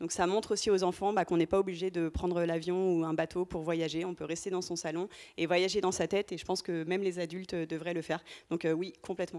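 Her tone is dark and mellow, with a fairly low pitch and monotone, flat intonation. The woman talks at a very fast pace over a quiet background. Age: 30s. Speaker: startup founder; panelist. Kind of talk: panel testimony. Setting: stage with audience. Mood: warm, smiling. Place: hall. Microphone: handheld.

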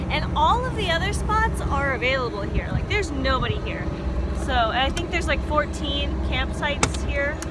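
The voice moves at a moderate pace, dry with no echo. Loud background noise fills the recording. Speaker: RV traveler vlogger. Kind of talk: casual vlog chat. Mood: excited, happy. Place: waterside. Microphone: phone near.

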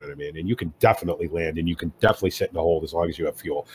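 A man speaks with a somewhat breathy voice. The sound is dry and close, with no echo. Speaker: flight sim enthusiast. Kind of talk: casual chat.

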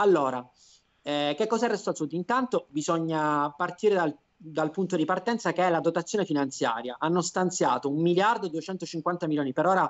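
With a Sicilian accent, a man speaks in a high voice at a fairly quick pace over a quiet background. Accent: Sicilian Italian. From Palermo, Sicily. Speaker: lawyer and business consultant. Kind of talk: interview, informative explanation. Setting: web TV broadcast, video call. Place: home room. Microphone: video call.

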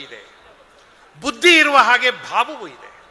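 A man speaks in a raised, projected voice. Noticeable background noise can be heard. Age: 60s. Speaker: public speaker. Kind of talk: speech. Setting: stage with audience.

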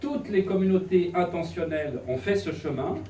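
There is light background noise and audible room echo as a man speaks in a high pitch. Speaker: presenter. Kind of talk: lecture. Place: classroom. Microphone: camera far.

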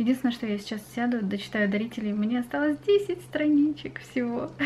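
A woman, with light background noise. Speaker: vlogger. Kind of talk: casual vlog chat. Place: home room. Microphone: webcam.

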